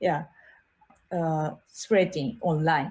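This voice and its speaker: A woman with a Japanese accent speaks at a very slow pace in a dark, mellow, somewhat breathy tone. The recording is very clean, with a silent background. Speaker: art teacher and designer. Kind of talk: interview. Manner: halting, many fillers.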